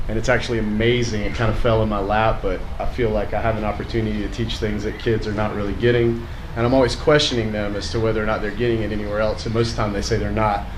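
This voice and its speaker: The speech runs at a very fast pace, with audible room echo and noticeable background noise. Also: man. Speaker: teacher of middle school health program. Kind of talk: casual public talk. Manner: loud; halting.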